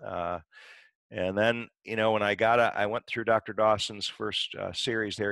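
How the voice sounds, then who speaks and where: With a quiet background and a dry sound with no echo, a man speaks at a moderate pace in a fairly low voice with ordinary pitch variation. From Michigan. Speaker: dentist and dental educator; guest. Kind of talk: interview. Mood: calm, encouraging. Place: home room. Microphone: headset.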